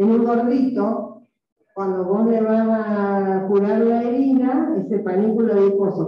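A woman's fairly high voice at a fairly slow pace, with ordinary pitch variation and strong room echo. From Argentina. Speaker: microbiology professor. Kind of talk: lecture. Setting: classroom. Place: classroom. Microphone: video call.

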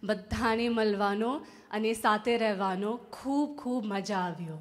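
A woman's fairly high voice with a non-native accent, faint music in the background. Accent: non-native Gujarati. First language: English (speaking Gujarati). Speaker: bride-to-be giving a speech. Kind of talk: prepared speech. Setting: engagement party with audience. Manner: careful, effortful second-language delivery. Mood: warm, joyful, smiling. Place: hall. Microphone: handheld.

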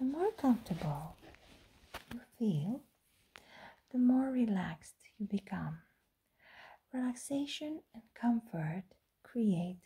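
Against a quiet background, this soft-spoken, somewhat breathy voice has a dark, mellow, soothing tone and lively intonation. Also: woman. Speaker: hypnosis role-play host. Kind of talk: soft relaxation roleplay talk. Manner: very soft, slow, soothing hypnotic voice. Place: home room. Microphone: phone near.

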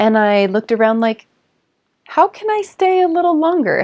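Against a quiet background, a woman with an American accent talks at a moderate pace with very wide pitch swings. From Southern California. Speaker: ecovillage resident. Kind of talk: documentary interview. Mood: warm, animated. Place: home room.

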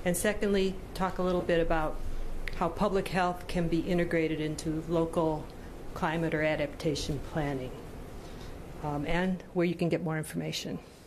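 A woman speaks with a fairly low pitch and fairly even intonation. Long, frequent pauses break up her speech over noticeable background noise. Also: moderate pace. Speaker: presenter. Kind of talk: presentation. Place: meeting room. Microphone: podium.

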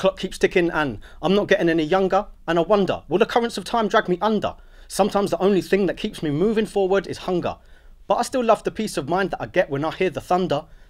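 Against a quiet background, a man with a high voice talks at a very fast pace with ordinary pitch variation. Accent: London. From Luton, England. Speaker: spoken word poet. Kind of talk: spoken word poetry performance. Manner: rhythmic, rhymed delivery. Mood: reflective, rhythmic, wry. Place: studio.

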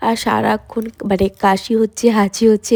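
Her dark, mellow tone has monotone, flat intonation and a dry, close sound with no echo. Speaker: vlogger. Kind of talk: vlog. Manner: casual.

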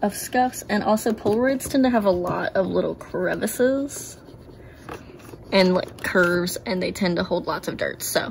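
Lively intonation and a moderate pace mark this woman's speech, with light background noise behind it. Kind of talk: tutorial. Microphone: phone near.

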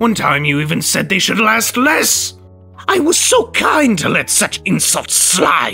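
Over faint background music, a put-on character voice with a bright, sharp tone and vocal fry moves fairly slowly through very wide pitch swings. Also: man, high pitch for a man.

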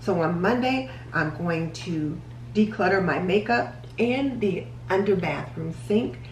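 A woman talks at a fairly slow pace with a fairly low pitch. Light background noise and audible room echo surround her voice. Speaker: home organizing vlogger. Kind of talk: tutorial. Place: kitchen. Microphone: camera far.

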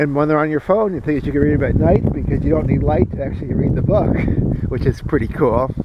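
Over loud background noise, a man talks at a very fast pace with ordinary pitch variation, the sound dry with no echo. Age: 40s. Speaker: vlogger. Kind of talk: casual vlog monologue. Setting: outdoors at a campsite. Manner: rambling with many fillers. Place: forest. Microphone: phone near.

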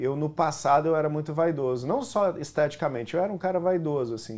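In a plain, everyday voice, a man speaks at a fairly quick pace with a fairly high pitch, ordinary pitch variation and hardly any pauses. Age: 30s. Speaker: actor. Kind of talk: talk show interview. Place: studio. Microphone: lapel.

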